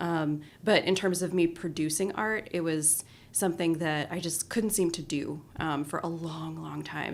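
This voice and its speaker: A woman's fairly low-pitched voice moves at a moderate pace with fairly even intonation. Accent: Colorado. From Colorado, US. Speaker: design strategist and artist. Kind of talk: podcast interview. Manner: casual, with many fillers.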